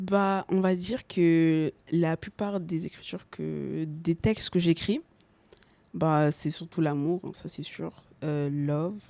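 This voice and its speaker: A woman speaks at a very slow pace. Her voice is fairly low in pitch, with a dark, mellow tone. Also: fairly even intonation. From Montfermeil, Seine-Saint-Denis, France. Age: young. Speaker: R&B singer. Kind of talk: interview answer.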